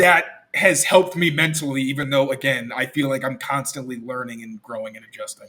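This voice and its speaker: A man with a fairly high voice and a bright, sharp tone speaks with hardly any pauses. His loudness swings widely while his pitch varies in an ordinary way. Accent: American. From US Midwest and New York. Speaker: sports reporter. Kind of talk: casual interview chat. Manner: casual, filler-heavy.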